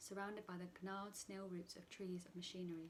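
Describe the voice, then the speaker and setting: A woman with a medium-pitched, somewhat breathy voice talks at a fairly quick pace. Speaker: yoga teacher. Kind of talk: poetry reading.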